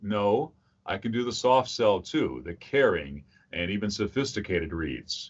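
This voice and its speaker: A man with an American accent speaks at a fairly slow pace in a fairly low pitch, with vocal fry and very wide pitch swings. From US Midwest (rural lower Michigan). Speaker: voice-over artist and voice coach. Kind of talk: interview.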